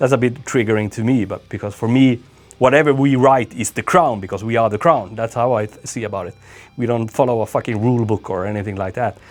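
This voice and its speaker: With music in the background, a man talks at a very fast pace and a medium pitch with ordinary pitch variation. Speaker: death metal musician. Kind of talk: interview. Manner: halting.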